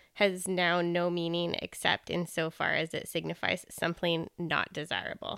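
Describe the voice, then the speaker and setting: This woman has a plain, everyday voice, speaking at a moderate pace with a medium pitch. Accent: Canadian. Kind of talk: casual chat.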